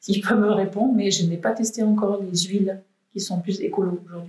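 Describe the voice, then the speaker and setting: At a moderate pace, a woman speaks at a medium pitch in a dark, mellow, somewhat breathy tone with monotone, flat intonation. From France, Valence (Drôme). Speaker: painter. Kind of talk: interview. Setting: artist's studio.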